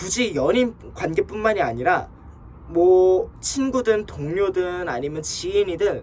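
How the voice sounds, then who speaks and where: Noticeable background noise accompanies speech that moves very slowly. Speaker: advice channel host. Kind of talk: casual advice talk. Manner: blunt, emphatic.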